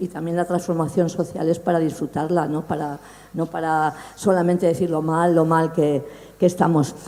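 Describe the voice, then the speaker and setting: A woman talks at a moderate pace and a fairly low pitch. Noticeable background noise runs behind her. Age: 60s. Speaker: audience member asking a question. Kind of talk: public Q&A question.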